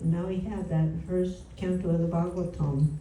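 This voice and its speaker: A woman with a fairly low voice speaks at a moderate pace with fairly even intonation. Noticeable background noise and audible room echo are present. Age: 80s+. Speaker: spiritual teacher. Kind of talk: religious talk. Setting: home gathering.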